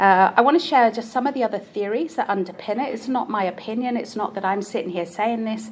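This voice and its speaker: A woman with a British accent talks at a very fast pace with hardly any pauses, using a fairly high pitch and ordinary pitch variation over noticeable background noise. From UK. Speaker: neuroscience-based coach. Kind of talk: conference talk.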